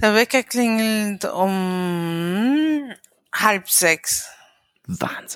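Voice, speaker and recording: A woman speaks very slowly at a medium pitch with lively intonation. She has a slight non-native accent. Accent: slight foreign. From Ecuador, raised abroad. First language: Spanish (bilingual with German) (speaking German). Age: 40s. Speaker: integration specialist. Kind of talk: casual interview. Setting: video call.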